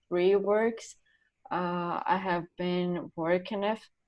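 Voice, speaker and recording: With a Brazilian Portuguese accent, a woman speaks at a medium pitch. Her intonation is flat and monotone. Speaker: art student. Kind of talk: artist talk presenting work. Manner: halting, many fillers.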